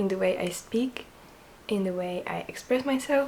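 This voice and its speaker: A woman talks at a medium pitch and a moderate pace. Noticeable background noise is present. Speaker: knitting vlogger, student. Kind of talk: casual chat. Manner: quiet, soft-spoken.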